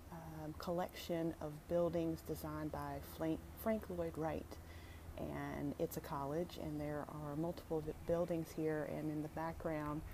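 A woman speaks at a fairly slow pace. Noticeable background noise runs underneath. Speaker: vlogger. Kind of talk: casual vlog chat. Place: street. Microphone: phone near.

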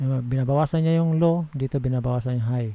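A man speaks at a moderate pace in a dark, mellow, somewhat breathy tone with ordinary pitch variation. The sound is dry, with no echo. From Philippines. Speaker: audio software tutorial maker; audio software instructor. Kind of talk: tutorial. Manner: halting.

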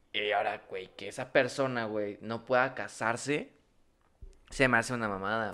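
With a Mexican accent, the speaker has a bright, sharp tone, fairly even intonation, big swings in loudness and a moderate pace. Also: man. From Mexico. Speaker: podcast co-host. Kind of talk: casual chat. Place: studio. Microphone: studio mic.

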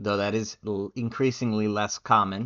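With monotone, flat intonation, a man talks at a moderate pace in a fairly low pitch over a quiet background. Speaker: game development coach and gameplay engineer; game development coach. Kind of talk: tutorial. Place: home room. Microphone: webcam.

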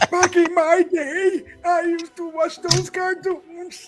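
An extremely high-pitched put-on character voice, very slow and monotone with flat intonation, over noticeable background noise

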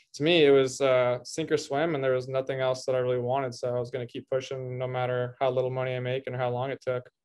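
Very fast, monotone, flat speech from a man against a quiet background. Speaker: podcast guest. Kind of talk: interview answer. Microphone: video call.

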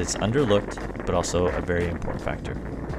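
Loud background noise accompanies speech delivered at a fairly quick pace. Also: man. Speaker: product reviewer. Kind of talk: product review voice-over.

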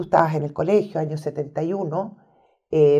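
A woman speaks with a Chilean accent. The background is quiet. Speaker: historian and interview host; interview host. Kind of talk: interview. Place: studio.

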